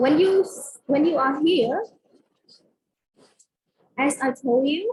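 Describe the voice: Speaking slowly, a woman uses a high pitch, lively intonation and a slightly mellow tone.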